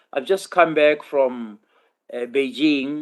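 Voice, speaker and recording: A man talks at a medium pitch. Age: 60s. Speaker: professor. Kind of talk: conference presentation. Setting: conference session, hybrid format. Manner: halting, frequent repetitions.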